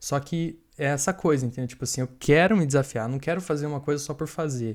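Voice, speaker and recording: On a very clean recording with a silent background, a man talks fairly quickly in an ordinary speaking voice, fairly high in pitch with ordinary variation. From Brazil. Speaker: software developer and author. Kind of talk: podcast interview. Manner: casual, filler-heavy.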